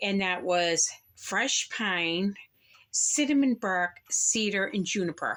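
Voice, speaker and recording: A woman talks with an American accent. Her tone is bright and sharp. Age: 60s. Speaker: candle reviewer. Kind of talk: product haul review. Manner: casual, chatty.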